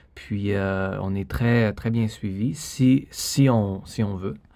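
In a very clean recording with a silent background, a man speaks with a fairly low, dark, mellow voice and ordinary pitch variation. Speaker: ballet dancer. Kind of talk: interview. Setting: studio.

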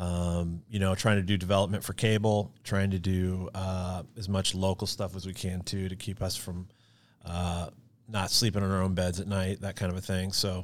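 On a very clean recording with a silent background, a man with an American accent uses an ordinary speaking voice at a fairly low pitch and moderate pace. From Kansas City area, Missouri. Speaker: video production company founder. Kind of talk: casual interview chat.

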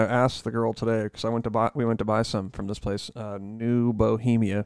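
A man speaks in a monotone at a fairly quick pace, his intonation flat. The sound is dry and close with no echo, over a quiet background. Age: 30s. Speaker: podcast co-host. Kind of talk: casual chat.

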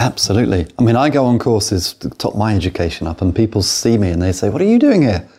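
Very fast, somewhat breathy speech from a man with a British accent, fairly low in pitch, with a dark, mellow tone, ordinary pitch variation and hardly any pauses. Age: old. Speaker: podcast host, property investor. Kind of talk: interview; scripted outro. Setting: studio.

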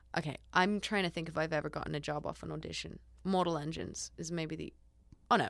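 A woman with an Australian accent, very deep and low in pitch, with vocal fry, a very fast pace and fairly even intonation. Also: very clean recording, silent background. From East Coast Australia. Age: 20s. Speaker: actress. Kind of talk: casual chat.

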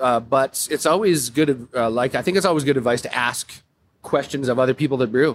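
A man's medium-pitched voice with a western Canadian accent, fairly quick in pace, with ordinary pitch variation. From Calgary, Alberta, Canada. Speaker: brewer. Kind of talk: casual interview.

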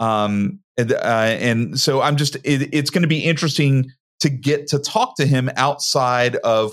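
A normal speaking voice from a man, pitched in the medium range for him, with ordinary pitch variation. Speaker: podcast co-host. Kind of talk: casual interview chat.

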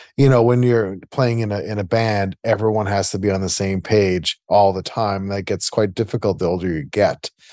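A man with a Canadian Prairies accent speaks at a fairly low pitch and a moderate pace with fairly even intonation. His tone is dark and mellow, the sound dry and close with no echo against a quiet background. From Winnipeg, Manitoba, Canada (Transcona). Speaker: music producer and humanitarian founder. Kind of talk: interview conversation.

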